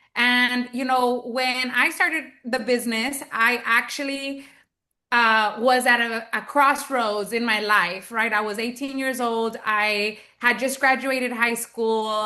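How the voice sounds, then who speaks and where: Fairly slow and fairly even in intonation, the speech has a bright, sharp tone and an American accent. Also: woman, high pitch for a woman. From US South, Texas, McAllen border region. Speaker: network marketing entrepreneur. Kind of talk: interview.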